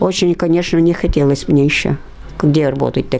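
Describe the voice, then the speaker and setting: Over noticeable background noise, a woman talks at a moderate pace in a very deep, low pitch. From Udmurtia, Russia. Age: 80s+. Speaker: war veteran. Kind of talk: oral history interview.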